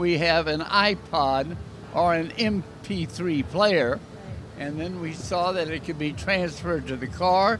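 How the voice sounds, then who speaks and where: Against noticeable background noise, a man with a high pitch and ordinary pitch variation speaks at a fairly slow pace. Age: 80s+. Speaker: trade show founder and industry executive. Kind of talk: interview.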